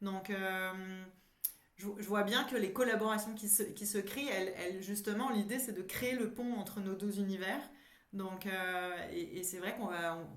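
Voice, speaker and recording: There is audible room echo around a woman's medium-pitched voice. She keeps a moderate pace and fairly even intonation. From France. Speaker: psychologist and coach. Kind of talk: casual interview. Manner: halting, many repetitions.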